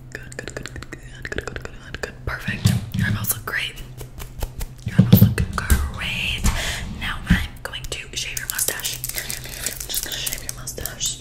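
A soft-spoken woman whispers at a fairly slow pace. Loud background noise sits behind her. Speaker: roleplay host. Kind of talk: soft-spoken personal-attention roleplay. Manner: soft close-up ASMR whisper. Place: home room.

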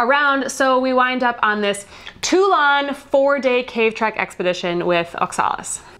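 A woman with a high pitch talks fairly slowly, her intonation lively. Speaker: travel vlogger. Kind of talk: casual vlog chat. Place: home room. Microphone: lapel.

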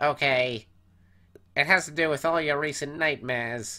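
This put-on character voice moves at a moderate pace in a very clean recording with a silent background. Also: man, fairly high pitch for a man. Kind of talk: comic dub character voice.

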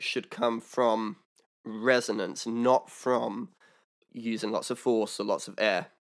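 A man talks at a fairly slow pace with fairly even intonation. The background is quiet. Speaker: harmonica teacher. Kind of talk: tutorial. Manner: casual, explanatory. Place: home room. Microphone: studio mic.

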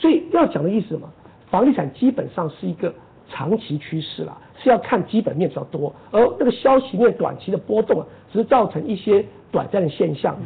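A man speaks at a fairly quick pace with a high pitch. His pitch swings very widely. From Taiwan. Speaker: professor of land economics. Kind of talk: interview. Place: studio.

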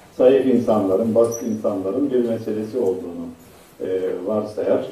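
Over noticeable background noise, a man at a medium pitch speaks at a moderate pace with fairly even intonation. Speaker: professor, Middle East researcher. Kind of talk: conference lecture. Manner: halting, many fillers.

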